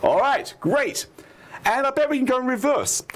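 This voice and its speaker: Noticeable noise fills the background. Through it, a man can be heard talking. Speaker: math educator. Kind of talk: lecture. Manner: fast; animated.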